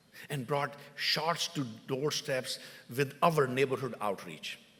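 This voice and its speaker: A man with an Indian accent and a fairly high pitch speaks at a fairly slow pace. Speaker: mayor. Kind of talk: formal address. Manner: formal; halting.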